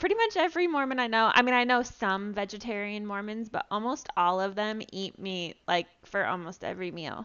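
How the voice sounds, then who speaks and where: Using an ordinary speaking voice, a woman talks at a fairly quick pace. Her pitch is fairly high, and her intonation is lively. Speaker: podcast co-host. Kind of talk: casual chat.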